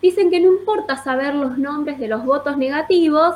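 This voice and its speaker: Speaking at a moderate pace, a woman with a Rioplatense accent has a high pitch. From Azul, Buenos Aires province. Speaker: history teacher and student policy coordinator. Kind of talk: question to the host.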